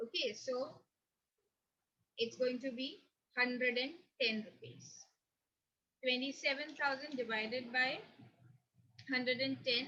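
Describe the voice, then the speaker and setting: A woman's raised, projected voice at high pitch, bright, sharp tone, ordinary pitch variation and long, frequent pauses. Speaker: accountancy teacher. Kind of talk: lecture. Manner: slow. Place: home room. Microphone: webcam.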